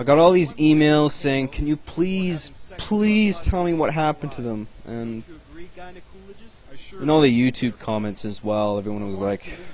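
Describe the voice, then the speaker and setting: Against noticeable background noise, a man with a fairly high pitch speaks at a moderate pace with long, frequent pauses. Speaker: web series creator doing commentary. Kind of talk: video commentary. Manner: laid back; monotone.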